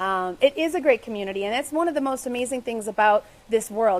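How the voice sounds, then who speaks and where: Her pace is very fast. The woman's pitch sits fairly high. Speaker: romance author. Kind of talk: live stream talk with viewer questions. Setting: live Facebook video.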